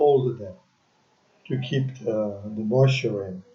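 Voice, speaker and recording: In a room with audible echo, a man with a dark, mellow tone and medium pitch speaks very slowly and somewhat breathily. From France. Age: 80s+. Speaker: retiree interviewed by his son. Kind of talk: family interview. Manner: halting.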